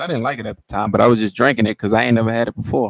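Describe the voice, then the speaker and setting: In an American accent, a man talks at a very fast pace with a fairly low pitch and vocal fry, recorded with a dry, close sound and no echo. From Texas, Houston. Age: 20s. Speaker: podcast host. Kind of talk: casual monologue on live stream. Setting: live stream. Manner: hesitant, many fillers and repetitions.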